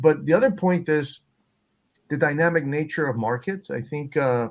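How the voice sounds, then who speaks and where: Against a quiet background, a man with a Spanish accent speaks at a moderate pace in a fairly high pitch with ordinary pitch variation. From Peru. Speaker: venture capitalist. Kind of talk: panel discussion. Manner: halting, many fillers and repetitions.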